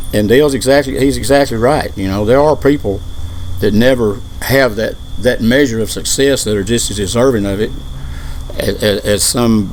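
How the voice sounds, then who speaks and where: At a fairly quick pace, a man of medium pitch speaks with ordinary pitch variation, with audible room echo and noticeable background noise. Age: 60s. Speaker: country singer. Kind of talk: casual interview. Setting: outdoors on a patio. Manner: halting, repeats words.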